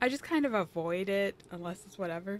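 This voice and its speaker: A woman at medium pitch with lively intonation, music in the background. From Michigan, US Midwest. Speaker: video game streamer. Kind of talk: casual chat. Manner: fast; halting.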